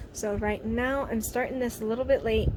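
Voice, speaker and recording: Noticeable background noise surrounds a woman speaking at a moderate pace. Her intonation is fairly even. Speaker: vlogger and mother. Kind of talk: casual home vlog.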